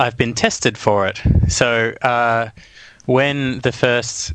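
A man with an Australian accent, bright and sharp in tone, at a fairly slow pace with fairly even intonation. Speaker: podcast guest. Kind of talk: casual chat. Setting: video call.

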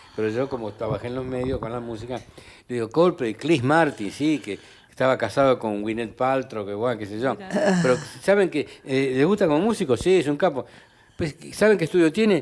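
A man talks at a fairly quick pace in a plain, everyday voice, at medium pitch with lively intonation. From Argentina, Santiago del Estero. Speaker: linguist and language professor. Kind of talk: interview conversation.

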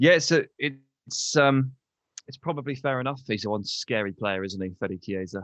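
Speech at a moderate pace with an English accent and lively intonation. The sound is dry and close, with no echo. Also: man, medium pitch for a man. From England. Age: 30s. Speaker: football pundit. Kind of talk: casual chat.

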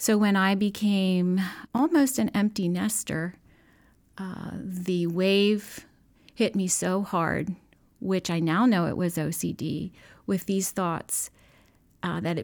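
On a very clean recording with a silent background, a woman speaks in a normal speaking voice. Her pitch is medium, with ordinary pitch variation. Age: 50s. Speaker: nurse. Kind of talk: testimony. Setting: studio.

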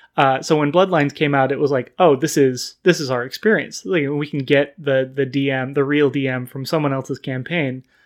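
In an ordinary speaking voice, a man with an American accent talks at a fairly quick pace with hardly any pauses, his pitch fairly high. His intonation stays fairly even against a quiet background. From US West Coast (Sacramento, California). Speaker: podcast guest, game fan. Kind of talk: casual chat.

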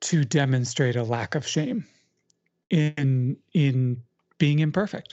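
A woman speaks very slowly in a very deep, low pitch with a warm, calm tone. Her pitch varies in an ordinary way, and she takes long, frequent pauses. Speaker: author and educator. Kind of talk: casual interview chat. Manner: warm, calm, reflective.

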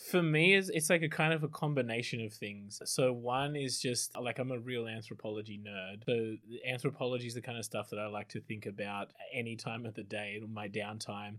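A man with an Australian accent talks at a fairly quick pace, his medium pitch moving with ordinary variation. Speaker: PhD student, former anthropologist. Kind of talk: panel discussion.

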